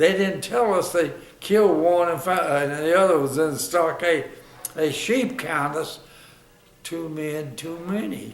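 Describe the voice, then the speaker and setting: At a fairly slow pace with ordinary pitch variation, the speech is heard over noticeable background noise. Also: man, high pitch for a man. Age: 80s+. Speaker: war veteran. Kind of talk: interview answer.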